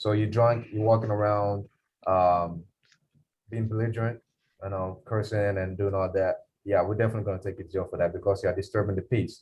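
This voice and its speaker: Somewhat breathy and fairly low, a man's voice runs at a fairly quick pace. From Ghana. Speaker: police officer. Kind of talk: Q&A talk to students. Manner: fast; animated.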